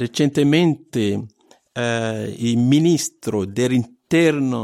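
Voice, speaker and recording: This very clean recording has a silent background. A man speaks at a medium pitch with ordinary pitch variation. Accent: Italian. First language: Italian (speaking German). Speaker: radio network coordinator. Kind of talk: interview. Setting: studio.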